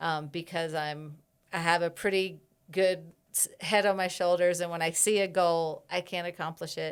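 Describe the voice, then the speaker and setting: On a very clean recording with a silent background, a woman with an American accent speaks at a moderate pace in a fairly low, monotone, flat voice. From US Midwest, Chicago. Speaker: herbalist. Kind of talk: casual chat. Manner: loud.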